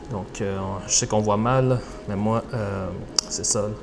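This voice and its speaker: A man whispers at a fairly slow pace. Noticeable background noise surrounds him. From Quebec, Montreal. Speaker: travel vlogger. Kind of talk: vlog narration. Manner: hesitant, many fillers; whispering.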